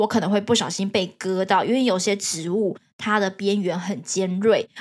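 A woman's medium-pitched voice with ordinary pitch variation, in a Taiwanese accent. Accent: Taiwanese Mandarin. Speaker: podcast host sharing working holiday experience. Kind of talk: casual solo monologue.

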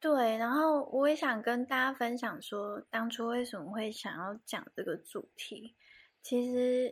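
Over a silent background in a very clean recording, a woman speaks at a fairly slow pace. Her voice is fairly high and her tone relaxed. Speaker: podcast co-host. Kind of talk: casual chat. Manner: relaxed, sleepy.

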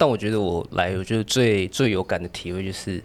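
A man's fairly low voice with ordinary pitch variation at a fairly quick pace. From Taipei, Taiwan. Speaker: hair stylist. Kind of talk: casual chat.

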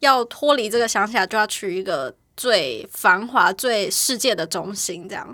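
A woman with a bright, sharp tone is heard in a very clean recording with a silent background. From Taiwan. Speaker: interior designer. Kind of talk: casual chat.

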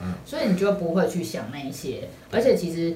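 Through audible room echo and noticeable background noise, a woman speaks fairly quickly with lively intonation. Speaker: podcast co-host. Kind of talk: casual chat.

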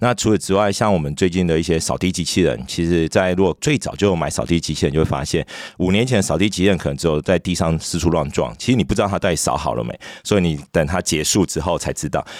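A man talks at a very fast pace with a very deep, low pitch and vocal fry. His pitch variation is ordinary. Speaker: startup founder and CEO. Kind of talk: interview.

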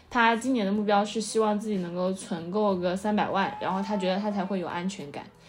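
A woman's somewhat breathy voice at a fairly quick pace, with fairly even intonation and audible room echo. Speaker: podcast host. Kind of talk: casual chat.

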